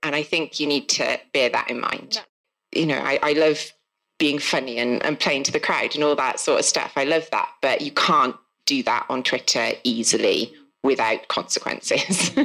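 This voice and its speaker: A woman with a Welsh accent at a moderate pace. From South Wales. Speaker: author. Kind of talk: casual live podcast conversation. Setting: live festival event with audience.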